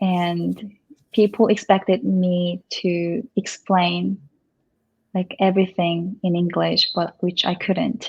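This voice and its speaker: A woman's somewhat breathy, medium-pitched voice in a Korean accent, very slow pace and flat, monotone intonation. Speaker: Korean language tutor. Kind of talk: casual chat. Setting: in a house.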